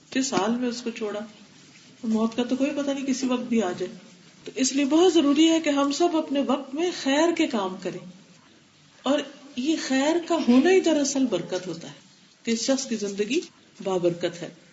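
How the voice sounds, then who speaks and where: Noticeable background noise behind a high-pitched woman whose pitch swings very widely. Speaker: Islamic scholar giving a religious lecture. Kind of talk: religious lecture.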